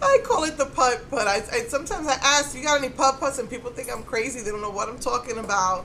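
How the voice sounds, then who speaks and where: Over noticeable background noise, a woman speaks in a raised, projected voice at a high pitch. She goes at a very fast pace with ordinary pitch variation. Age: middle-aged. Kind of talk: casual talk to camera.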